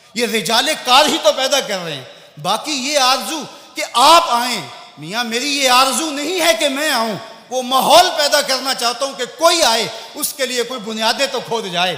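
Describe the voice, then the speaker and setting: Over noticeable background noise, a man with an extremely high pitch speaks in a raised, projected voice with a passionate tone. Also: ordinary pitch variation. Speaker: Islamic preacher. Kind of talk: Islamic sermon / religious lecture. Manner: passionate, emotional, rhetorical.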